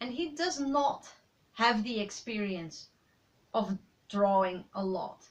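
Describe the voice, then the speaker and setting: At a fairly slow pace, a woman talks in a fairly high, somewhat breathy voice. Her intonation is lively. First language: Dutch. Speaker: aspiring writer, vlogger. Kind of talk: personal vlog monologue.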